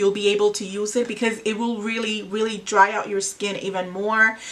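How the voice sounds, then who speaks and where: Against noticeable background noise, a woman with a Spanish accent talks at a moderate pace in a fairly high pitch with monotone, flat intonation. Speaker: beauty vlogger. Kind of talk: makeup tutorial. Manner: casual, hesitant with fillers.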